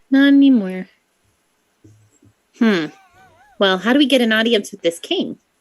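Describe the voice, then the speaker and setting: The speaker uses a put-on character voice at a fairly high pitch. Delivery is fairly slow, with long, frequent pauses. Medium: actual play. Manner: casual, rambling, hesitant.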